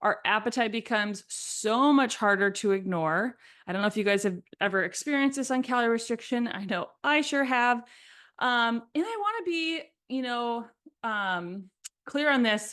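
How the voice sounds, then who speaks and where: A woman with an American accent at a fairly high pitch and a moderate pace, with ordinary pitch variation and a quiet background. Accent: Minnesotan accent, comes out sometimes. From Minnesota. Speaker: podcast host, fitness coach. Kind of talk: educational podcast monologue. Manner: casual, conversational with fillers.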